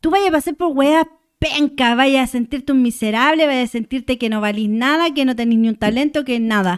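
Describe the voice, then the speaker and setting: A woman talks at a high pitch and fairly quick pace, with ordinary pitch variation and big swings in loudness. The sound is dry and close with no echo. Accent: Chilean. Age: 30s. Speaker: muralist. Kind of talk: casual chat.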